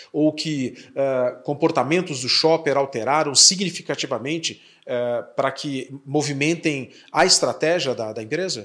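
This man has a fairly high voice with ordinary pitch movement. He speaks at a fairly slow pace. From Curitiba, southern Brazil. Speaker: podcast host, company president. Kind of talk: interview podcast.

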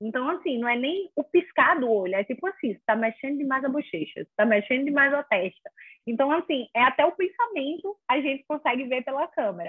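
With very wide pitch swings, a woman with a high pitch talks at a fairly quick pace. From Brazil, small town in inland Alagoas. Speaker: lawyer in regulatory law. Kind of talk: casual interview.

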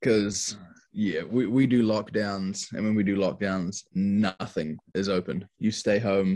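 Monotone, flat intonation from a man with fairly low pitch at a fairly slow pace. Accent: New Zealand. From New Zealand, Wellington (Tawa). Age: 20s. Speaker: hip hop artist. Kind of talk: casual chat.

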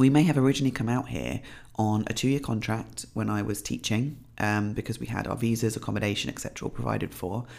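Speaking with a British accent, a woman is heard. She talks at a very fast pace. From UK. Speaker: podcast host, fitness coach. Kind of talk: solo podcast monologue. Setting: home.

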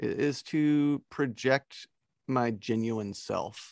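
Here a man with a plain, everyday voice speaks at a medium pitch with ordinary pitch variation. The recording is very clean with a silent background, and the sound is dry and close with no echo. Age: 40s. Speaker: podcaster and blogger. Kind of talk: casual chat.

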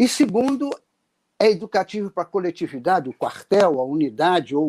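With a dark, mellow tone and a high pitch, a man talks fairly quickly with lively intonation, the sound dry and close with no echo in a very clean recording with a silent background. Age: 80s+. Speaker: retired army colonel. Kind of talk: interview. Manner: halting, frequent repetitions.

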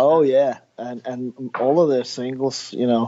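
This man has a Danish accent. His pace is very slow. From Denmark. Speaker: record producer. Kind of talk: interview.

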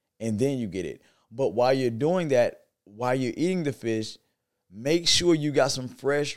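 A man's ordinary speaking voice at a medium pitch, with ordinary pitch variation and a moderate pace. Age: 40s. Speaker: vegan wellness educator and business owner. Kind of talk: casual interview.

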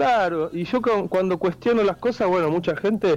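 A man talks in a Rioplatense accent. His pace is fairly slow. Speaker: musician and poet. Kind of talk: interview.

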